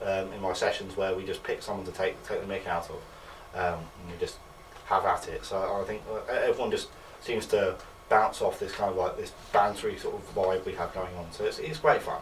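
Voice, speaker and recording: A man speaks at a fairly quick pace with an English accent. There is noticeable background noise behind him. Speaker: student comedian. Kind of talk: interview. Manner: halting.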